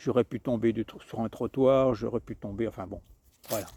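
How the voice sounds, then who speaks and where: A man's medium-pitched, dark and mellow voice at a moderate pace, dry and close with no echo. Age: 60s. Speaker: hiker vlogger. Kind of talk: casual vlog monologue. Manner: halting, many repetitions and fillers.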